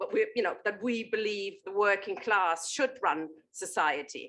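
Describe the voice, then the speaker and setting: A woman with a German accent speaks at a moderate pace. Her fairly high voice has a bright, sharp tone. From Germany. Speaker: political activist and journalist. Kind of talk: panel talk at a political meeting. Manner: animated, with frequent fillers and repetitions.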